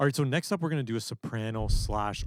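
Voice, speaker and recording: With lively intonation, a man is talking. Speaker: music producer. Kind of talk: tutorial.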